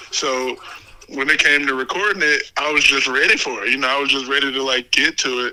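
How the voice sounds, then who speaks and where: Over noticeable background noise, a man with an American accent talks at a fairly quick pace, his fairly high voice for a man held to fairly even intonation. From Texas (Dallas). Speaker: rapper and producer. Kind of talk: casual chat.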